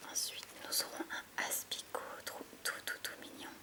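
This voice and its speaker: A woman whispers at a fairly slow pace in a calm, relaxed tone. Noticeable background noise can be heard. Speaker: YouTuber. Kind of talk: relaxing ASMR-style Pokémon card opening. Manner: calm, soft-spoken, relaxed.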